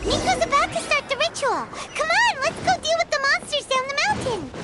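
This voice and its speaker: In a put-on character voice, someone speaks at a fairly quick pace with extremely high pitch. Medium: machinima. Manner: cheeky, chatty.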